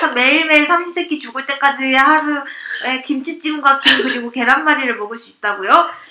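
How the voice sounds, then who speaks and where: Over noticeable background noise, a woman with a high pitch speaks in a raised, projected voice at a fairly quick pace, with big swings in loudness, hardly any pauses and ordinary pitch variation. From Seoul, South Korea. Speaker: guest. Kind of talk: casual chat. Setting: live audio chat room with listeners.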